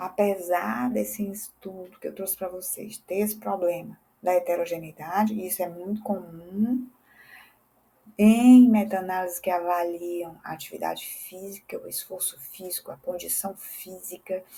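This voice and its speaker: At a moderate pace, a woman of medium pitch speaks in a dark, mellow, somewhat breathy tone, with ordinary pitch variation and big swings in loudness. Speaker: physiotherapist and teacher. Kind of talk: educational lecture.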